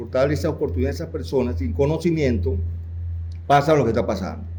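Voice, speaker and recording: Talking at a very fast pace, a man with a dark, mellow tone and vocal fry is heard with audible room echo. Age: 60s. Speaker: audience member, former union activist. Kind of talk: audience comment in seminar Q&A.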